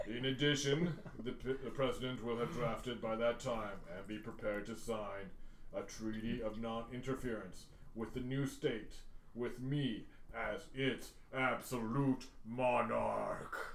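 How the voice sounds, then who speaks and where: Over clear background noise, a man puts on a character voice at medium pitch and a fairly slow pace. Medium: actual play. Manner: menacing, formal, pedantic.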